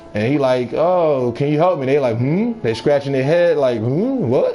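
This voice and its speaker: A man with an American accent speaks at a moderate pace. Noticeable background noise and audible room echo are present. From New York. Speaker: video game live streamer. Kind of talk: casual chat with live stream viewers while gaming.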